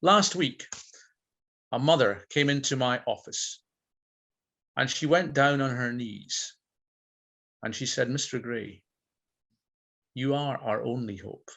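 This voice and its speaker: Someone speaks at a fairly slow pace with a Scottish Highland accent. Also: man. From Scotland, Inverness (Highlands). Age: 60s. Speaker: school principal. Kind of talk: talk to a video-call audience, then Q&A; Q&A answer. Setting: video call. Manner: rhetorical, measured; hesitant.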